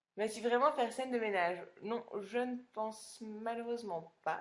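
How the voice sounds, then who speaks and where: The woman's voice sits at a fairly high pitch. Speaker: reality TV contestant answering fans. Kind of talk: live Q&A stream reading fan questions.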